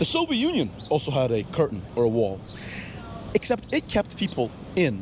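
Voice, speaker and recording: The man speaks at a moderate pace with very even loudness and long, frequent pauses. Noticeable background noise is present. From Moscow, Russia. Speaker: interviewee on the street. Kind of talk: street interview.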